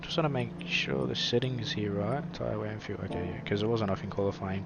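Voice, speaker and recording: Over noticeable background noise, a man talks with an Australian accent and ordinary pitch variation. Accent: Australian twang. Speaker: sim racing commentator. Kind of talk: live commentary; stream host chat. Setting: live stream.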